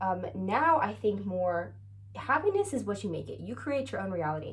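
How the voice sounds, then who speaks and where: There is audible room echo around this woman. Her tone is animated. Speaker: vlogger. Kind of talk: casual chat. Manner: fast.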